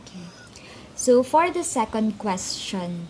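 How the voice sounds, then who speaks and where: A very slow, fairly high-pitched female voice amid noticeable background noise. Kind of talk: interviewer questions.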